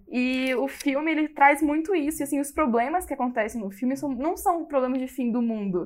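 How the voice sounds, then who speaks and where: A woman's high voice, with ordinary pitch variation, comes through in a very clean recording against a silent background. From Brasília, Brazil. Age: 20s. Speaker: listener caller. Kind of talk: casual chat.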